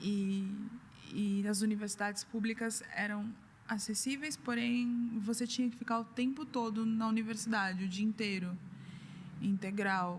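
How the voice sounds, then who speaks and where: With a São Paulo accent, a woman talks at a fairly slow pace in a fairly high pitch, her intonation fairly even and her loudness very even. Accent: Brazilian Portuguese, São Paulo (paulistano). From Brazil, São Paulo. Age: 30s. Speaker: artist and gallery founder. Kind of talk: interview.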